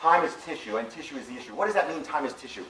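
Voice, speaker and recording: A man speaks at a fairly high pitch, his voice swinging very widely up and down. Noticeable background noise and audible room echo surround him. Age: 60s. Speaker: physician. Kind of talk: lecture. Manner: animated.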